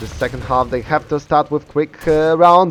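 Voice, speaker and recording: A man with a Polish accent, fairly high in pitch, at a moderate pace with ordinary pitch variation, music playing in the background. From Poland. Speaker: esports caster. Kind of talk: live commentary. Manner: halting, many fillers.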